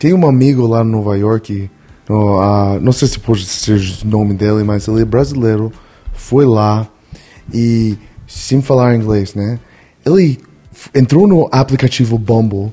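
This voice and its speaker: Speaking with a Spanish accent, a man keeps to a medium pitch with ordinary pitch variation. His pace is fairly slow, broken by long, frequent pauses. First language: Spanish (speaking Portuguese). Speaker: podcast guest. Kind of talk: casual chat.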